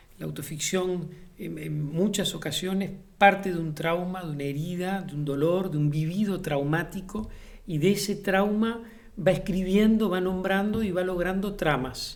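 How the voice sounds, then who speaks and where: With audible room echo, a man speaks slowly-ish at a fairly slow pace in a high pitch and fairly even intonation. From Uruguay, Montevideo. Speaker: playwright and theatre director. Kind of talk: interview. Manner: hesitant, many fillers and repetitions.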